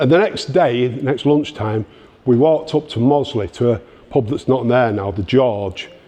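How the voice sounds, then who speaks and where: A man with a Manchester accent talks at a moderate pace and medium pitch. His tone is dark and mellow, with ordinary pitch variation. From northern England, Denton, Greater Manchester. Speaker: punk scene speaker. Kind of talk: talk to an audience. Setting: library exhibition event with audience. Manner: halting, many repetitions.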